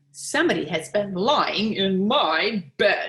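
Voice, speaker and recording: Speaking fairly slowly, a woman adopts a put-on character voice. Her pitch sits in the middle range. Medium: read story.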